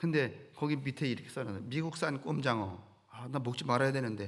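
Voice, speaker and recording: A somewhat breathy man with a medium pitch talks at a fairly quick pace amid audible room echo. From rural Korea. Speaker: pastor. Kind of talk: sermon. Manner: conversational, folksy.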